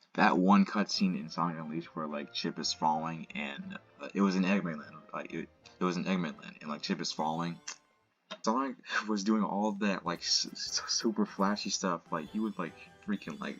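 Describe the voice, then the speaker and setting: Music plays behind a man with a very deep, low voice. He talks at a moderate pace with ordinary pitch variation. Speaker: gaming commentator. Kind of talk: casual gameplay commentary. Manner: stuttering, halting. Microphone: laptop mic; audio issues.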